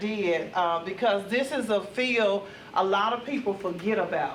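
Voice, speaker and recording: In a Mississippi accent, a woman speaks with ordinary pitch variation amid audible room echo and noticeable background noise. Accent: US Southern (Mississippi). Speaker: retired corrections officer and mental health trainer. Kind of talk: conference talk. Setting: conference room with audience. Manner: loud.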